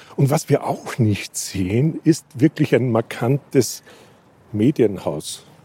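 A man's somewhat breathy, dark and mellow voice at medium pitch, very slow with lively intonation, in a dry, close sound with no echo. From rural Austria. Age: 60s. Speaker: media historian and professor. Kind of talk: interview. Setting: outdoors on a rooftop.

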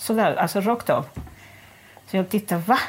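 A woman speaks at a moderate pace. Her voice sits at a medium pitch. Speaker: former prisoner. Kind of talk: interview testimony. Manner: halting.

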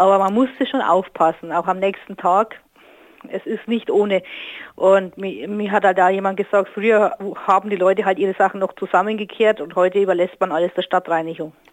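Delivery is fairly quick, and the intonation stays fairly even. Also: woman, medium pitch for a woman. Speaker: listener. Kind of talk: interview.

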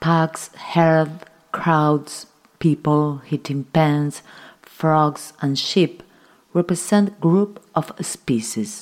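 A woman's very deep, low voice, with a Spanish accent, ordinary pitch variation and a very slow pace. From Uruguay. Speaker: sound and conceptual artist. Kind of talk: scripted narration.

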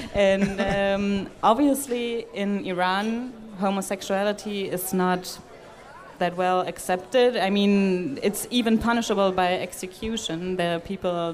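A woman at a medium pitch with a German accent, speaking at a fairly slow pace with ordinary pitch variation, audible room echo and crowd noise in the background. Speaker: podcast interviewer. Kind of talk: interview with German summaries. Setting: stage at a festival.

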